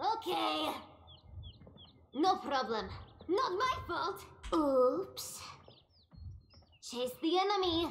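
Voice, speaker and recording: This female-sounding put-on character voice sits extremely high in pitch, swinging very widely, and moves at a very slow pace with long, frequent pauses. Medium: video game. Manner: coy, purring.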